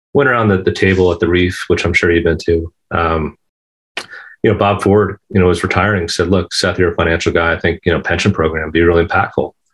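A man with a very deep, low voice talks at a very fast pace, somewhat breathy, with fairly even intonation. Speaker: golf professional. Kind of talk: interview.

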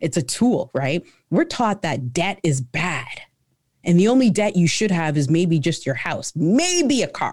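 In a very clean recording with a silent background, a woman's fairly low, somewhat breathy voice moves at a fairly slow pace with very wide pitch swings. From Canada. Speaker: entrepreneur. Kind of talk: interview.

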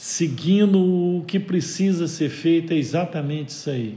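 With audible room echo, a man speaks in a fairly high pitch with a dark, mellow tone and ordinary pitch variation. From Minas Gerais, Brazil (João Pinheiro, northwest). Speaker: business owner. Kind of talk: interview.

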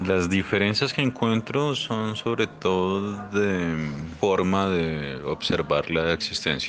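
Noticeable background noise sits behind a man with a fairly low pitch. He speaks at a very slow pace with lively intonation. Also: very even loudness. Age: 40s. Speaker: podcast interviewee. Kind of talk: reflective monologue answer.

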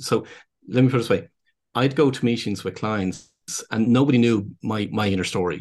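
A man with a Dublin accent talks at a fairly quick pace over a quiet background. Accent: Irish (Dublin). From Ireland, Dublin. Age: 50s. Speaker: business consultant and speaker. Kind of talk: casual interview conversation. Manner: halting, with many repeated words.

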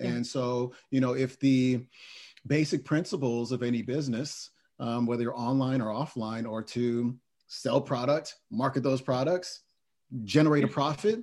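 A man with an American accent speaks at a medium pitch and a moderate pace, with ordinary pitch variation. His is a normal speaking voice, on a very clean recording with a silent background. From Oakland, California. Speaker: podcast host and mindset coach. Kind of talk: interview.

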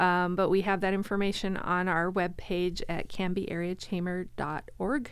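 In a room with audible echo, a woman with an American accent talks at a moderate pace and medium pitch, monotone and flat in intonation, with hardly any pauses. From Florida. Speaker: chamber of commerce director. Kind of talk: casual interview. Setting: studio.

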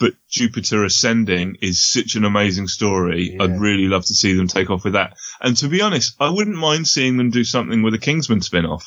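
A man with a British accent, fairly low in pitch, at a fairly quick pace with hardly any pauses, very even loudness, and lively intonation. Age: 40s. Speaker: podcaster. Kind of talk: casual chat.

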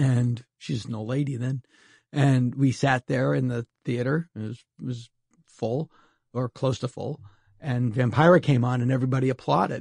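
A man with an American accent speaks at a moderate pace in a medium pitch, his voice somewhat breathy. His intonation stays fairly even, and the sound is dry and close with no echo. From Massachusetts, US. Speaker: comedian and TV writer. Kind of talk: casual interview chat. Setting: home studio.

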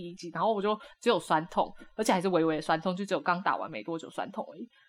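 This is a woman speaking. Her pace is very fast. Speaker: podcast co-host. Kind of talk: casual chat.

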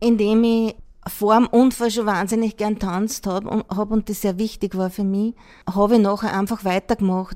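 A woman's medium-pitched voice, dark and mellow in tone, monotone and flat, at a moderate pace in a very clean recording with a silent background. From rural Austria. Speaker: wheelchair dancer. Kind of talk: interview.

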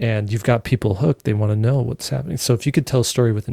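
A man speaks in a calm, dark, mellow tone at a fairly low pitch with ordinary pitch variation, somewhat breathy, in a dry, close sound with no echo. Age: 40s. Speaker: illustrator and author. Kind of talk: interview.

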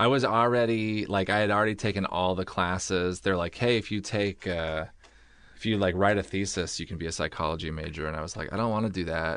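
Against a quiet background, a man with an American accent talks fairly quickly in a very deep, low voice. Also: ordinary pitch variation. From Oregon. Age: 30s. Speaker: comedian. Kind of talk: casual chat. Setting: studio.

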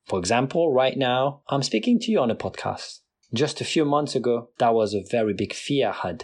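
Against a quiet background, a man talks with a non-native accent. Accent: non-native accent, noticeable. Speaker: podcast host. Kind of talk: solo motivational talk. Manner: motivational, direct.

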